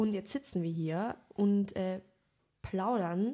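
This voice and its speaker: A woman with a medium-pitched voice talks fairly slowly, her pitch varying in an ordinary way. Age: 20s. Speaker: podcast co-host, actress. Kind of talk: casual chat. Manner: animated.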